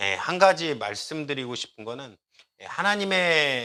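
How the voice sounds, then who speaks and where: Speaking at a fairly slow pace with lively intonation, a man has a bright, sharp tone on a very clean recording with a silent background. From Korea, Jeolla region. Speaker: pastor. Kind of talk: sermon.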